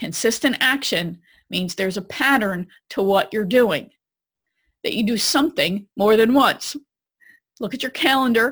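Speaking at a moderate pace with lively intonation, a woman has a fairly high pitch and an unremarkable speaking voice, on a very clean recording with a silent background. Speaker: podcast host. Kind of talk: interview.

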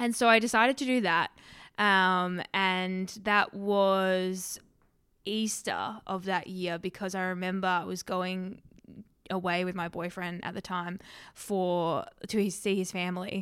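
A woman at medium pitch with an Australian accent, fairly slow pace and fairly even intonation, on a very clean recording with a silent background. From Western Australia. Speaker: vegan social media creator. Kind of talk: casual interview.

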